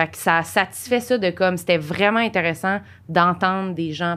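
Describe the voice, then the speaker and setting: Using a normal speaking voice, a woman with a fairly low pitch talks at a moderate pace, her intonation fairly even but her loudness swinging widely. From Quebec, Saint-Jean-sur-Richelieu. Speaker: podcast co-host. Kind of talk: casual chat.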